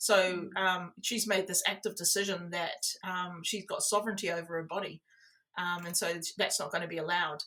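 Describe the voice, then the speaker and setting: A woman with an Australian accent and a bright, sharp tone at a moderate pace. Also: medium pitch for a woman, fairly even intonation. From New South Wales, Australia. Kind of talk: interview answer.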